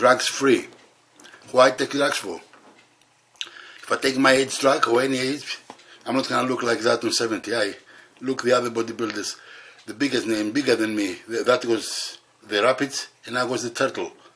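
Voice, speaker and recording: A man at a moderate pace, with fairly even intonation, long, frequent pauses and noticeable background noise. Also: medium pitch for a man. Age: 70s. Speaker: bodybuilder and video host. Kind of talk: casual vlog talk to camera. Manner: halting.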